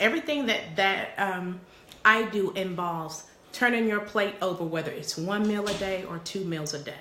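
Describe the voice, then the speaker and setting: A woman at a moderate pace with lively intonation and audible room echo. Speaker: parenting coach and live streamer. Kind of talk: live stream chat with viewers. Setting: office. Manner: repetitive, stammering starts.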